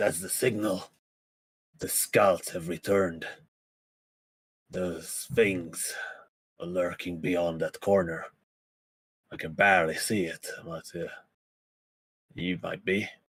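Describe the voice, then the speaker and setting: A put-on character voice moves at a fairly slow pace, with long, frequent pauses and big swings in loudness. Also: man, very deep, low pitch for a man. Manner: tense, warning of danger.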